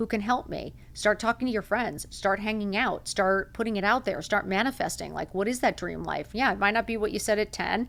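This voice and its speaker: Over a silent background on a very clean recording, a woman talks with an animated tone and vocal fry at a fairly quick pace, with hardly any pauses. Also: medium pitch for a woman. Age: 50s. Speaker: podcast host. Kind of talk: motivational monologue.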